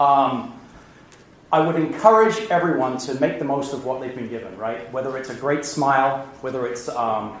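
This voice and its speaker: A man with an American accent speaks at a moderate pace and medium pitch with ordinary pitch variation, amid noticeable background noise and audible room echo. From England. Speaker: business executive. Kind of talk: lecture.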